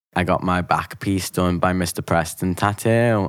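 Speaking fairly slowly, a man has a very deep, low pitch. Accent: Liverpool. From Liverpool. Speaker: actor and poet. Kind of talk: interview.

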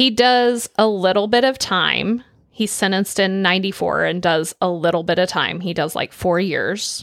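A woman with a normal speaking voice and an American accent, medium in pitch with ordinary pitch variation, at a moderate pace with hardly any pauses, on a very clean recording with a silent background. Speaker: true crime podcast co-host. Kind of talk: casual true crime storytelling.

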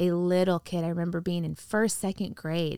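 At a moderate pace, a woman with a fairly low pitch talks in a monotone, flat intonation, the sound dry and close with no echo on a very clean recording with a silent background. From US Midwest, northwest Indiana. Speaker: pastor. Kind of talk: casual interview. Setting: converted camper podcast studio.

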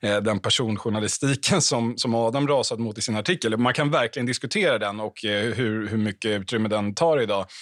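A man talks at a moderate pace in an unremarkable speaking voice. His pitch is medium with ordinary variation, and the sound is dry and close with no echo. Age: 30s. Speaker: political journalist. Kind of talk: panel discussion.

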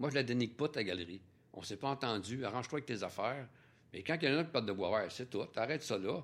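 In a very clean recording with a silent background, a man speaks with a Quebec accent at a medium pitch. His delivery is very fast, with lively intonation. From Quebec, Trois-Rivières. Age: 60s. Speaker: painter. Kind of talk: interview. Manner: halting, with repetitions.

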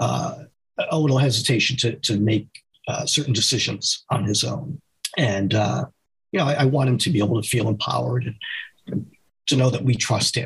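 With an American accent, a man speaks at a medium pitch with vocal fry and ordinary pitch variation. His pace is fairly quick, broken by long, frequent pauses. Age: 50s. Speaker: fiction author. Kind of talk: interview.

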